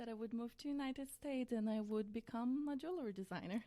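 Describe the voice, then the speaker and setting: A woman with a Brazilian accent, high-pitched, at a fairly quick pace. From central-west Brazil, small town. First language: Portuguese. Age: 30s. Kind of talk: podcast interview.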